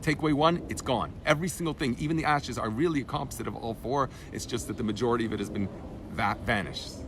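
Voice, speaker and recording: The speech comes at a very fast pace with lively intonation. Audible room echo and noticeable background noise surround it. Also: man. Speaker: rabbi teaching Torah class. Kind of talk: lecture. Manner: halting, self-correcting.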